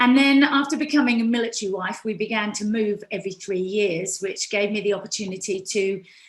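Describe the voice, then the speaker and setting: Against noticeable background noise, a woman with a British accent speaks in a fairly high voice. She moves at a fairly quick pace with ordinary pitch variation and hardly any pauses. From UK. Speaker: fitness instructor. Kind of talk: speech.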